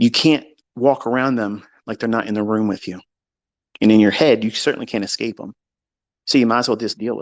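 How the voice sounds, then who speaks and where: Against a quiet background, a man with a medium-pitched, animated tone speaks at a fairly quick pace, broken by long, frequent pauses. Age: 50s. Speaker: trading educator. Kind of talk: casual monologue on live audio space. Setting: home, online audio space.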